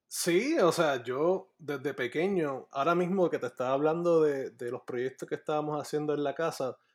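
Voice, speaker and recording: This man has a plain, everyday voice, pitched fairly high, with ordinary pitch variation at a moderate pace. The recording is very clean and the background silent. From Puerto Rico. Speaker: graphic artist. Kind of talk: casual chat.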